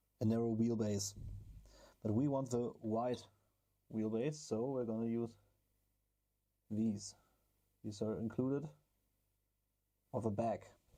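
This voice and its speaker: The voice has a dark, mellow tone and a German accent. It moves at a fairly slow pace with long, frequent pauses and very even loudness. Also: man, medium pitch for a man. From Germany. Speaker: RC car hobby YouTuber. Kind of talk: build tutorial. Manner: casual, hesitant with fillers.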